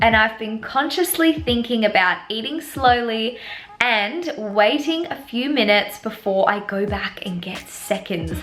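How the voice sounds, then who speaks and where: A woman with an Australian accent and a fairly high pitch speaks at a fairly slow pace with lively intonation, over noticeable background noise. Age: 20s. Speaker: vlogger. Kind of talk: casual chat.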